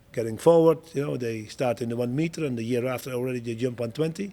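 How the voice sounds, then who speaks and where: Speaking very fast with a Dutch accent, a man has a dark, mellow tone at medium pitch, with ordinary pitch variation. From Netherlands. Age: 60s. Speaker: show jumping coach and Olympic rider. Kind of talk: interview. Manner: halting, with repetitions.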